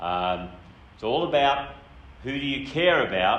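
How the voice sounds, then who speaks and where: A man speaks with an Australian accent. Room echo can be heard. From Australia, New South Wales country town. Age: 60s. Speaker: speaker. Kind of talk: seminar talk. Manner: casual.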